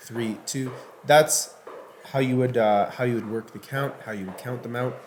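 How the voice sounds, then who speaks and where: Noticeable noise fills the background. Over it, a male speaker talks. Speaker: fitness instructor. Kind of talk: workout tutorial. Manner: casual, hesitant with fillers.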